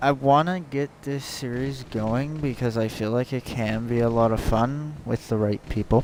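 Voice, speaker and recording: Fairly slow delivery from a man at a medium pitch. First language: not English. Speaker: gaming youtuber. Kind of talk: casual vlog promo. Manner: halting, many fillers.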